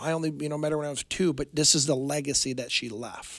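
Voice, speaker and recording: A man with an American accent talks at a fairly quick pace in a normal speaking voice. His pitch is fairly high, with ordinary pitch variation. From Michigan, Fenton. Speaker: retirement planner. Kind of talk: casual interview.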